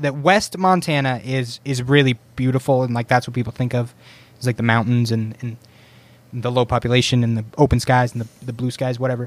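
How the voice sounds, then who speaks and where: Dry and close with no echo, a plain, everyday voice moves at a fairly quick pace. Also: man. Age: 20s. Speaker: streamer. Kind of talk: casual chat.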